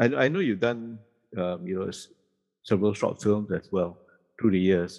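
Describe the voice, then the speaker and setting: Over a quiet background, a man with a fairly low pitch talks at a moderate pace. He uses ordinary pitch variation and takes long, frequent pauses. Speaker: podcast host. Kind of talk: casual podcast interview.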